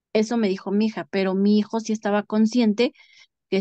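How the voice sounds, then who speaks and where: Over a quiet background, a woman with a fairly high pitch and a dark, mellow tone speaks at a fairly quick pace in a monotone, flat intonation, the sound dry and close with no echo. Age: 40s. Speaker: bereaved mother. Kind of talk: testimony.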